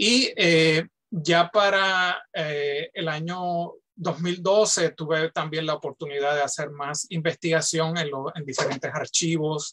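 Very slow speech comes in a bright, sharp tone with fairly even intonation. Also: man, fairly high pitch for a man. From Puerto Rico. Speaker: professor. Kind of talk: panel discussion. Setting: video call. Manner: halting. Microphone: video call.

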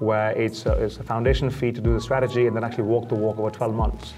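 Clear music plays behind a man who talks at a very fast pace. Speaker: guest. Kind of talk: interview answer. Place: meeting room. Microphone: lapel.

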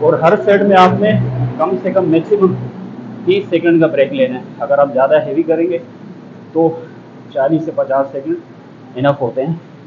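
Against noticeable background noise, a high-voiced man speaks fairly slowly with long, frequent pauses. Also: ordinary pitch variation. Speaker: fitness trainer. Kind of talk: tutorial. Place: gym. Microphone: lapel.

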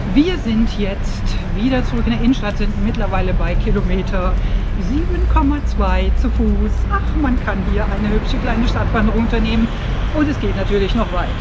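A woman speaks at a moderate pace while music plays in the background. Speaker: travel vlogger. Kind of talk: casual vlog chat. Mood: mildly annoyed, then upbeat. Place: street. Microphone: phone near.

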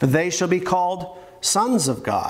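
The man talks fairly slowly. He is the only speaker described. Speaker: pastor. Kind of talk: sermon, scripture reading. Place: church. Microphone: podium.

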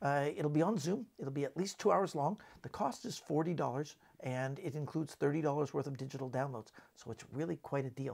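At a fairly quick pace with few pauses, a man talks with vocal fry, a slightly husky edge, a slightly mellow tone and ordinary pitch variation. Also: fairly high pitch for a man.

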